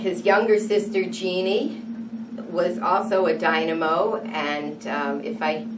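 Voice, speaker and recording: Medium pitch from a woman, with audible room echo and noticeable background noise. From New England, US (New London, Connecticut). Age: 60s. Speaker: interviewee. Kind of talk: oral history interview.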